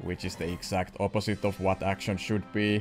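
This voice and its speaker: Music plays in the background. A man speaks with a fairly low pitch. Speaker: video reviewer. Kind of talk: commentary.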